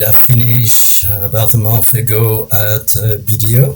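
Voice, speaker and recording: A man speaks with a French accent at a fairly low pitch. Music plays in the background. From Ivory Coast. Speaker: risk management consultant. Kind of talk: interview.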